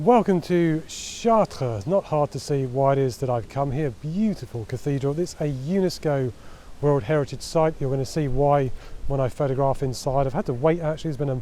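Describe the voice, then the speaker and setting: At a fairly quick pace, a man speaks with a fairly high pitch, ordinary pitch variation and a dark, mellow tone. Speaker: travel photographer. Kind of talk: vlog tutorial. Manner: quiet, speaking softly.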